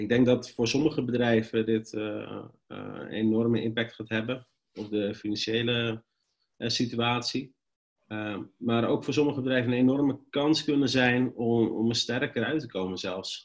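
A man speaks at a fairly slow pace against a quiet background. His intonation stays fairly even. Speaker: presenter. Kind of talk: webinar presentation. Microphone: webcam.

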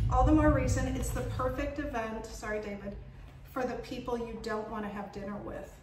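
A woman speaks over noticeable background noise, with audible room echo. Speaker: cooking school owner and author. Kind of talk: casual chat. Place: kitchen.

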